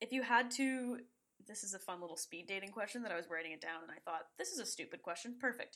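With a Canadian accent, a woman speaks at a very fast pace in a bright, sharp tone at a medium pitch. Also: lively intonation. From Toronto, Canada. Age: young. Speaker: film student, podcast co-host. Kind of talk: casual chat.

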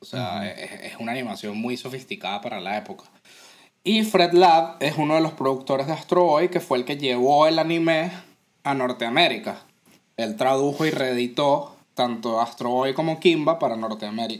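A fairly high-pitched man with a Venezuelan accent and lively intonation. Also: moderate pace. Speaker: podcast co-host. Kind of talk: casual chat.

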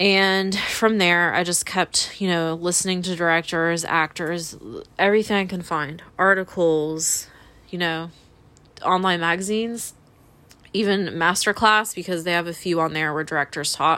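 Fairly even intonation and a moderate pace come through in an ordinary speaking voice. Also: woman, fairly low pitch for a woman. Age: 30s. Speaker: podcast host. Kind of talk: casual monologue.

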